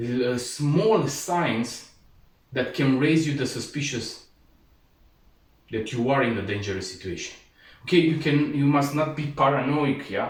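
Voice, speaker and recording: Somewhat breathy and fairly high-pitched, a man speaks with ordinary pitch variation and long, frequent pauses amid audible room echo. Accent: non-native. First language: not English. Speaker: martial arts instructor. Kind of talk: tutorial. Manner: halting, frequent fillers.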